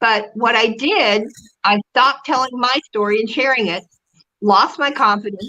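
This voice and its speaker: This woman has an ordinary speaking voice, fairly high in pitch, with ordinary pitch variation and a moderate pace. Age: 60s. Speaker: public relations consultant. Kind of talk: interview.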